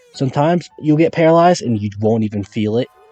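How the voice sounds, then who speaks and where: Very fast speech from a man at a medium pitch, with very wide pitch swings and music in the background. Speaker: gaming YouTuber. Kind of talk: gameplay commentary. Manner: halting.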